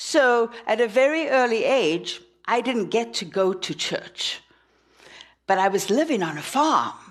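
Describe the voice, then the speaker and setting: Speaking with a South African accent, a woman uses a fairly high pitch and lively intonation at a fairly slow pace. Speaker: minister. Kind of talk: sermon. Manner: animated.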